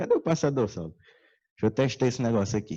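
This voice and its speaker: The background is quiet. A man's tone is dark and mellow. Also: dry, close sound with no echo. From Ceará, Brazilian Northeast. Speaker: conference speaker. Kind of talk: lecture. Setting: stage with audience.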